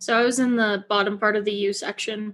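An animated tone at a moderate pace over a quiet background. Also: woman. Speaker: college student and podcaster. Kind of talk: casual interview chat. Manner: animated, laughs often.

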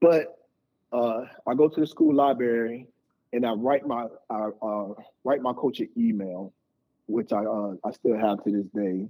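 Speaking at medium pitch and a fairly slow pace, a man uses ordinary pitch variation and leaves long, frequent pauses. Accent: American. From Tampa, Florida. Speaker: sports management founder. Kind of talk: casual interview. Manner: halting, many fillers.

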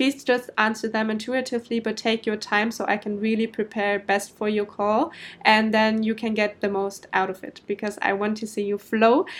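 A woman speaks with a German accent at a moderate pace and hardly any pauses. Her fairly high voice stays monotone and flat. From Germany. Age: 20s. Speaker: podcast host, business coach. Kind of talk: solo podcast monologue. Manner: casual, with filler ums.

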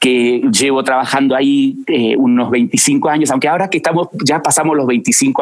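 At a moderate pace, a man with a normal speaking voice talks at a fairly high pitch with lively intonation. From Argentina, Buenos Aires. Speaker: music industry executive. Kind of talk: interview conversation.

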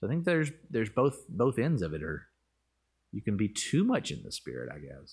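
Fairly quick speech from a man with a Southern US accent, medium pitch, vocal fry, very wide pitch swings and big swings in loudness. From US South, Arkansas. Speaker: pastor. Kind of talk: casual chat. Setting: in person.

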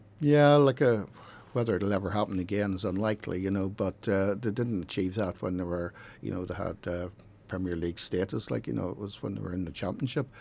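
Fairly low male speech, very cleanly recorded with total silence behind it. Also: ordinary pitch variation. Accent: Northern Irish. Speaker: football statistician. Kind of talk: casual chat. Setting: studio.

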